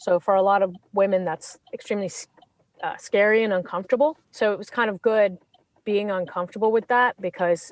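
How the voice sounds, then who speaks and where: A woman in a Californian accent, fairly quick and fairly even in intonation, dry and close with no echo. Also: medium pitch for a woman. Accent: California. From England then California. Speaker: criminal defense attorney. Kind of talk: interview. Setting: podcast interview.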